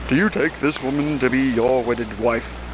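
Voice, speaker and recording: Over loud background noise, a man uses a put-on character voice at medium pitch. His pace is moderate. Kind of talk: formal ceremonial. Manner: solemn, officiating.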